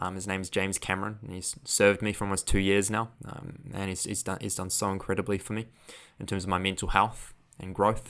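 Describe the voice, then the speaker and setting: A man with a New Zealand accent speaks very fast in a fairly low voice, in a very clean recording with a silent background. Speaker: podcast host and mental health coach. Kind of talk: solo podcast monologue. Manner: casual, conversational, laughs often.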